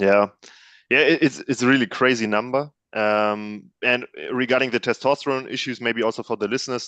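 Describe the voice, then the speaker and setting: Recorded dry and close with no echo against a quiet background, a man with a German accent speaks at a moderate pace, medium pitch and fairly even intonation. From Germany, near Cologne. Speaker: panel guest. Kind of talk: casual chat.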